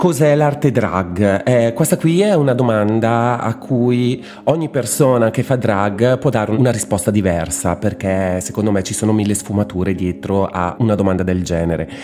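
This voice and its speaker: With lively intonation, a man speaks at a moderate pace in a fairly low pitch. Noticeable background noise can be heard. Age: 40s. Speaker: drag performer and graphic designer. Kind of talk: interview.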